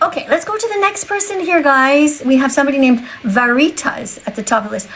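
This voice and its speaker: Noticeable background noise sits behind a woman speaking in a high pitch. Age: 60s. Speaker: vegan activist livestreamer. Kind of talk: livestream chat with viewers. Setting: TikTok live stream. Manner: animated.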